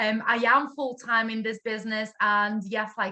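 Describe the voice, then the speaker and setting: A woman with a Latvian accent speaks at a moderate pace. Her tone is bright and sharp, and her pitch is fairly high. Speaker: network marketing director. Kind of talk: online training talk.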